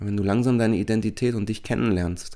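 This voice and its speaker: A man with an ordinary speaking voice at a fairly quick pace, fairly even intonation, very clean recording with a silent background. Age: 40s. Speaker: life coach and podcast host. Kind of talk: solo self-help monologue.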